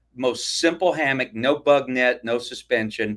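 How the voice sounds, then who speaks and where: Medium pitch, ordinary pitch variation and a moderate pace from a man with an ordinary speaking voice, on a very clean recording, the background silent. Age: 60s. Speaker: hammock camping YouTuber. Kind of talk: live stream interview. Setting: live stream.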